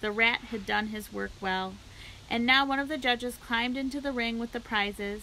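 The passage is read in a natural reading voice. Pitch rises and falls in an ordinary way.

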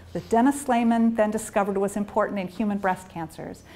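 A woman talks with an American accent. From US. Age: 50s. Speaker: neuroscientist. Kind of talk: lecture. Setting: stage with audience. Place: office.

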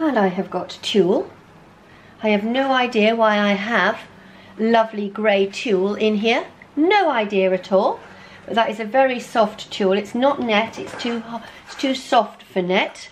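Amid light background noise, a woman speaks at a fairly slow pace with ordinary pitch variation. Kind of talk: casual vlog chat. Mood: nostalgic, amused. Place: home room.

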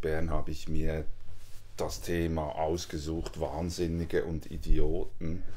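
A man speaks with ordinary pitch variation. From Switzerland. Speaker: author; guest, visiting professor. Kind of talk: interview. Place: home room.

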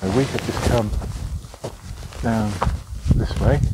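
Loud background noise surrounds a dry sound with no echo and ordinary pitch variation. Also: man. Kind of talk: casual vlog commentary. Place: open country. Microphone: phone near.

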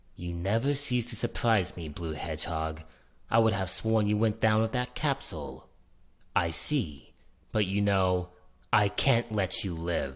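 A man's put-on character voice at a fairly low pitch and moderate pace, in a very clean recording with a silent background. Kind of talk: video game character voice demo. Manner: cold, arrogant, menacing.

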